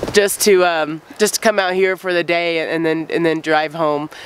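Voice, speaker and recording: The pace is moderate, and noticeable background noise is present throughout. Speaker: outdoors vlogger. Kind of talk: casual talk to camera.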